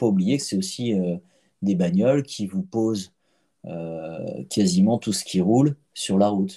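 Speaking at a very slow pace, the man has a fairly low pitch. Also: ordinary pitch variation. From Paris (19th arrondissement). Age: 40s. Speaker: physiotherapist. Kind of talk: casual chat. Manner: halting, repeats words.

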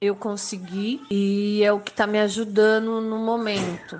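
A woman's fairly high voice at a very slow pace over noticeable background noise. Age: 40s. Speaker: domestic worker. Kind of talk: personal testimony.

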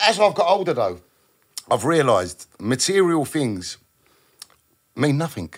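A man with a fairly high voice, a touch of vocal fry and lively intonation. He leaves long, frequent pauses. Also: fairly slow pace. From South London. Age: 40s. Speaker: graffiti artist. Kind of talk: casual chat.

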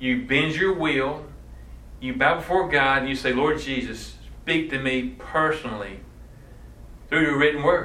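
Amid noticeable background noise and audible room echo, a man speaks at a moderate pace with a fairly high pitch and fairly even intonation. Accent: Southern US. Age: 50s. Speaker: missions education director. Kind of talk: workshop talk. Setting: church session with audience.

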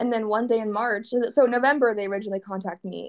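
Speaking at a fairly quick pace, a woman uses a normal speaking voice with medium pitch and fairly even intonation. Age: 20s. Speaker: clothing entrepreneur. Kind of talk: casual interview chat.

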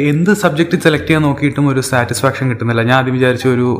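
A man speaks over noticeable background noise. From Kerala, Thiruvananthapuram. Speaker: podcast host. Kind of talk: casual monologue.

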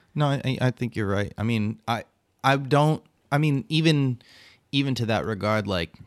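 Recorded dry and close with no echo, a man speaks in a plain, everyday voice at a moderate pace with ordinary pitch variation. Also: very clean recording, silent background. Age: 40s. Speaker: podcast co-host, photographer. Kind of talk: casual chat. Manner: jokey, profane.

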